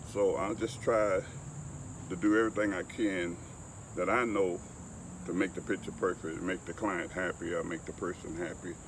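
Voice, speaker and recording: A man with a Southern US accent and a very deep, low pitch speaks at a moderate pace, leaving long, frequent pauses. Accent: US South. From Alabama, Mobile. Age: 70s. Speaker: photographer. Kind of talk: interview.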